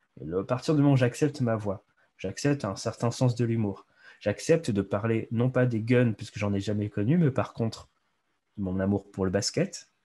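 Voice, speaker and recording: This man speaks at a medium pitch with a dark, mellow tone. His pace is moderate and his pitch variation ordinary. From Réunion (Bras-Panon, east of the island). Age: 30s. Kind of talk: interview. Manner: hesitant, filler words.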